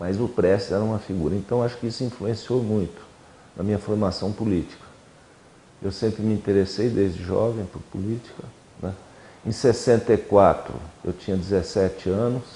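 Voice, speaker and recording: Moderate pace with long, frequent pauses and fairly even intonation. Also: man. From Brazil, São Paulo (city from age 12). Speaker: former student activist. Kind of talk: oral history interview.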